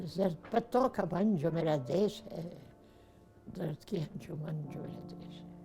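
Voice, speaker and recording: Ordinary pitch variation and big swings in loudness, with music in the background. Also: woman. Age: 80s+. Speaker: actress. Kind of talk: poetry reading.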